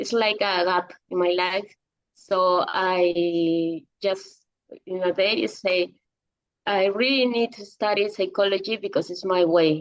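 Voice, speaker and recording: Fairly even intonation and a fairly slow pace from a woman of medium pitch with a Spanish accent. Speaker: psychology teacher. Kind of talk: interview. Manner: halting.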